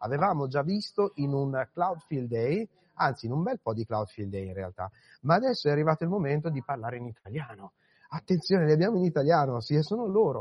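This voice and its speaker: Somewhat breathy, a man speaks at a fairly quick pace in a fairly high pitch with very wide pitch swings. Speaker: podcast host. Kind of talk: live event interviews. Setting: conference floor.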